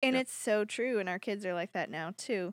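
Recorded very cleanly against a silent background with a dry, close sound and no echo, a woman with an unremarkable speaking voice talks at a moderate pace in a medium pitch with ordinary pitch variation. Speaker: podcast co-host. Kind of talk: casual chat.

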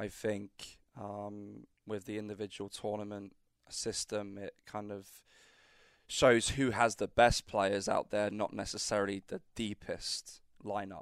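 Heard dry and close with no echo, a man with a British accent speaks at a fairly slow pace in a fairly low pitch, his intonation monotone and flat but with big swings in loudness. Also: very clean recording, silent background. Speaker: college tennis coach. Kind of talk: casual interview. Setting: studio.

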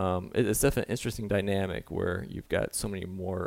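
A man's very deep, low voice with vocal fry and an American accent, very fast, on a very clean recording with a silent background. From Michigan. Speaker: college track and field coach. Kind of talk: casual interview.

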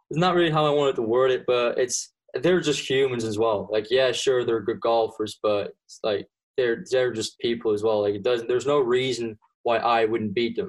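A man speaks at a medium pitch with a slight Flemish accent. His pace is moderate and his pitch variation ordinary. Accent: Flemish-accented English, light. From Belgium (Flanders). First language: Dutch (Flemish). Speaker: college golfer. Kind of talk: casual interview. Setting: remote call from home.

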